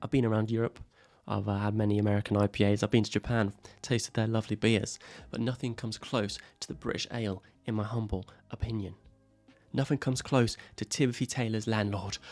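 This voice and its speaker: A man with an English accent talks very fast at a fairly low pitch. Music plays in the background, and the sound is dry and close, with no echo. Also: fairly even intonation. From England. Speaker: YouTuber. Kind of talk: comedic list talk to camera. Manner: casual, sarcastic.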